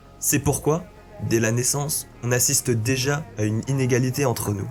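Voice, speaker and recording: A man's medium-pitched voice with fairly even intonation, set against music in the background. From rural France. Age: 20s. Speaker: content creator. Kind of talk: reflective personal voice-over narration.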